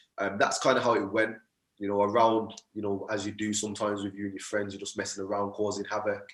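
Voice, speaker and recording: A man with a Birmingham accent talks at a very fast pace. His pitch is fairly low and his intonation monotone and flat. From Birmingham, England. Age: 20s. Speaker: motivational speaker and mindset coach. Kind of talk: podcast interview.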